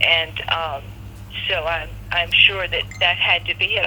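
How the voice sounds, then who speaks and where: There is noticeable background noise behind a woman's speech. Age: 60s. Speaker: covid-19 patient. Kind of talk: interview. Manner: halting, many fillers and repeats.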